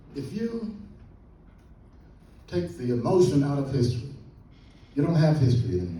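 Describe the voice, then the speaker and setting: Lively intonation marks this man's speech at a moderate pace. Audible room echo surrounds his voice. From Central Florida, Volusia County. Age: 80s+. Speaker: historian and professor. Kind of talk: lecture. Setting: classroom lecture to students. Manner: animated.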